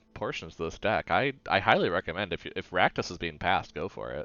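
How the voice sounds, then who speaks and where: There's vocal fry in this man's voice. He keeps a fairly quick pace. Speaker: gaming streamer. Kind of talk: live gameplay commentary. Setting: live stream. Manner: halting, many restarts and fillers.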